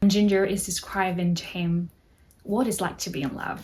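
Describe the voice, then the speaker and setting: At a moderate pace, a woman speaks at a medium pitch with a somewhat breathy voice. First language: Spanish. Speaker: book content creator. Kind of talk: casual vlog talk with quotes read aloud.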